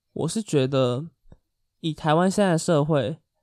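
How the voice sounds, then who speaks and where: A man with an unremarkable speaking voice talks at a moderate pace and a fairly high pitch with ordinary variation, recorded dry and close with no echo, very clean, with a silent background. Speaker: podcast co-host. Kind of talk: casual chat.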